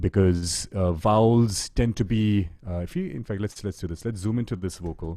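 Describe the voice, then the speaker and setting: Hardly pausing at all, a man speaks at a fairly low pitch in a dark, mellow tone. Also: ordinary pitch variation, moderate pace. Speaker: music producer and workshop presenter. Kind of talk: online workshop tutorial.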